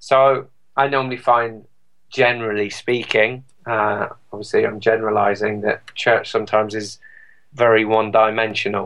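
In a British accent, a man talks at a medium pitch and a moderate pace, his intonation monotone and flat. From England. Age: 40s. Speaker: electronic music DJ and composer. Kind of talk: interview.

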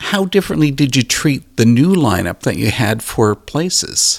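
A man's voice, marked by vocal fry, swings very widely in pitch at a moderate pace. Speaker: radio host. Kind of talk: interview.

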